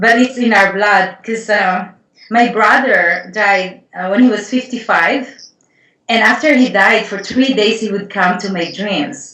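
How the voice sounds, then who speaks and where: Audible room echo surrounds a woman with a fairly high pitch and a bright, sharp tone, speaking fairly slowly with ordinary pitch variation. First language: not English. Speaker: Akashic Records healer and writer. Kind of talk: casual interview conversation.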